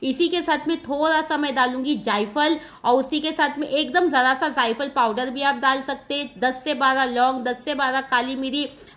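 A woman's high-pitched, bright, sharp voice with fairly even intonation and hardly any pauses. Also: moderate pace. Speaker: cooking vlogger. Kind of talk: cooking tutorial. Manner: chatty. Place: kitchen. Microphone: phone near.

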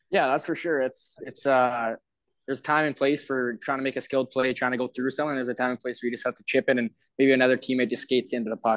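At a fast pace, a man talks at medium pitch with little pitch movement, in a dry, close sound with no echo.

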